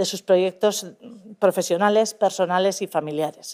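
A woman speaks in a dark, mellow tone at a moderate pace. The background is quiet. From Basque Country. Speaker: government official; public presenter. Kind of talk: formal presentation. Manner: formal. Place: hall.

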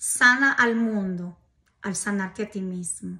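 At a slow pace, a woman with a medium pitch talks in a bright, sharp tone with a slightly husky edge and ordinary pitch variation.

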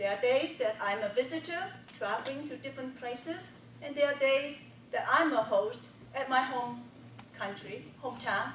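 A woman with a Chinese accent speaks at a moderate pace in a high voice with ordinary pitch variation. There is audible room echo and light background noise. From China. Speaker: speech contestant, engineer. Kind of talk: contest speech. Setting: stage with audience. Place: meeting room.

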